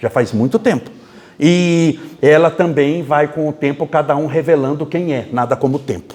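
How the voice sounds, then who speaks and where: Animated in tone, a man speaks at a moderate pace. His pitch varies in an ordinary way. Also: fairly high pitch for a man. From Brazil, interior of São Paulo state. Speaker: spiritist lecturer. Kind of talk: lecture.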